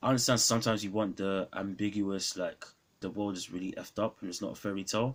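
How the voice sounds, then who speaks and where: With a London accent, a man speaks fairly quickly at a fairly low pitch. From London, England. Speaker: film reviewer YouTuber. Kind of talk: casual film review vlog. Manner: hesitant, many fillers.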